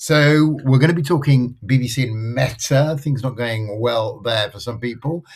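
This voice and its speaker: Somewhat breathy, a man of medium pitch speaks fairly slowly with lively intonation. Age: 60s. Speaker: podcast host. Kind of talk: casual chat.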